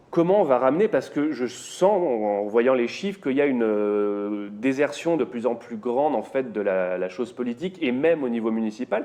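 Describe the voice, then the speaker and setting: The speaker has lively intonation and a moderate pace with hardly any pauses. Noticeable background noise is present. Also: man, medium pitch for a man. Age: young. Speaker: talk show host. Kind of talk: talk show discussion.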